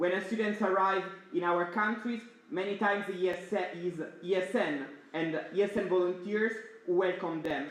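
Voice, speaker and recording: Loud and high-pitched, a man speaks with fairly even intonation amid noticeable background noise and audible room echo. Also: moderate pace. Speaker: student network board member. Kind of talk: opening speech. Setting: stage with audience.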